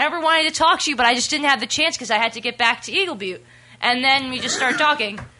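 Speaking very fast in a raised, projected voice, a woman sounds high-pitched, bright and sharp, with ordinary pitch variation. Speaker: guest. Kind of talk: casual chat. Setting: studio.

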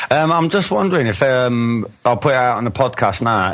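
This is a man speaking with a Cockney accent. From England. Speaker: caller. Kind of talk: casual chat.

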